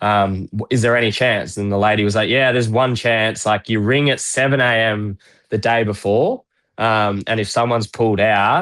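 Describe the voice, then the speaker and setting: A man talks with a strong Australian accent at a fairly low pitch, keeping his intonation fairly even. His pace is moderate, and the recording is very clean with a silent background. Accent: broad Australian. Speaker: retired footballer. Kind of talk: casual chat.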